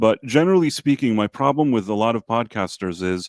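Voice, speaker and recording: A man with a normal speaking voice talks at a moderate pace and medium pitch, his intonation lively, in a very clean recording with a silent background and a dry, close sound with no echo. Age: 40s. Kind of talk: casual chat.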